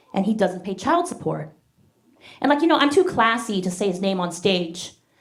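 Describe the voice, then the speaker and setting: Somewhat breathy delivery at a moderate pace, with lively intonation. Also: woman, medium pitch for a woman. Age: 40s. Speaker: stand-up comedian. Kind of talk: stand-up. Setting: stage with audience.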